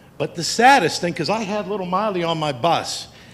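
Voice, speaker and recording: With noticeable background noise behind him, a man with an American accent and a high pitch speaks with ordinary pitch variation. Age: 60s. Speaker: school bus driver, public commenter. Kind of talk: public comment at school board meeting.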